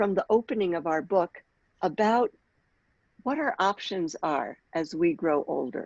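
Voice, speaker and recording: A woman's voice with very wide pitch swings and long, frequent pauses, dry and close with no echo. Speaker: rabbi and workshop facilitator. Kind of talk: online workshop talk.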